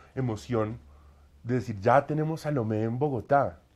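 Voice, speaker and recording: A man talks fairly slowly at a medium pitch, his pitch varying in an ordinary way. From Colombia. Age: 30s. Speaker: opera singer; interviewee. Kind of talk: interview. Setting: at home. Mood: warm, enthusiastic. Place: home room. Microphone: lapel.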